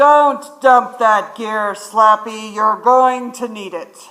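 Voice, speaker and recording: A put-on character voice, pitched fairly high and delivered at a very slow pace. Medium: stage play. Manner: folksy, easygoing.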